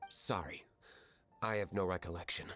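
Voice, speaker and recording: This is a put-on character voice, and it is raspy. It moves at a moderate pace. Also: man, very deep, low pitch for a man. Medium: video game. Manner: terse, cool, clipped.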